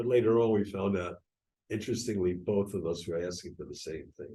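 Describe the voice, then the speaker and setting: Speaking in an American accent, a man has a fairly low pitch and a dark, mellow tone that is somewhat breathy. His pace is moderate and his intonation fairly even. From US Northeast, New York. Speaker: Holocaust survivor. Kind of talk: oral history talk. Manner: halting.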